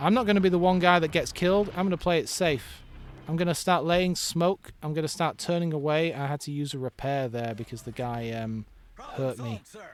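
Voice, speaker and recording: A man speaks with an English accent at a fairly quick pace. His pitch is fairly high and his intonation lively. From England. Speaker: video game streamer. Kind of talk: casual gameplay commentary. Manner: halting, frequent fillers and repeats.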